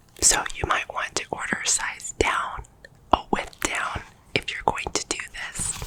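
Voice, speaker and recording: Someone is whispering at a fairly slow pace. Noticeable background noise sits behind the voice. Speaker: pointe shoe fitter. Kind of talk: ASMR tutorial.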